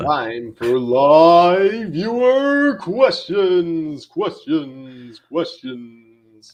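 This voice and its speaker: Using a put-on character voice, a man speaks at a very slow pace in a high pitch with very wide pitch swings and hardly any pauses. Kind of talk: showy, catchphrase delivery. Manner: dramatic, drawn-out, repetitive.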